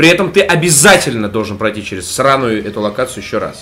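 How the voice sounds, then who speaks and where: Speaking at a moderate pace, a man moves through very wide pitch swings. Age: 30s. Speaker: gaming podcast co-host. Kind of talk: casual chat. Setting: at home in a room under renovation. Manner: animated.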